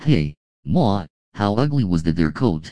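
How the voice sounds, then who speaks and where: A man's put-on character voice, very deep and low in pitch, at a moderate pace. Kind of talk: folksy, joking.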